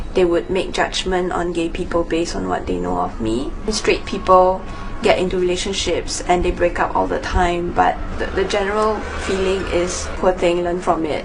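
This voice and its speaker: A woman speaks at a moderate pace. Noticeable background noise and audible room echo surround her voice. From Singapore. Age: 20s. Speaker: interviewee. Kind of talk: documentary interview.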